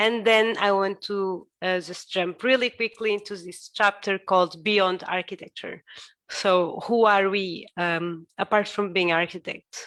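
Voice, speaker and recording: Recorded very cleanly against a silent background, with a dry, close sound and no echo, a woman with a Portuguese accent speaks fairly slowly at a medium pitch, her intonation fairly even. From Portugal. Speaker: architect. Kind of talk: lecture. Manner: halting.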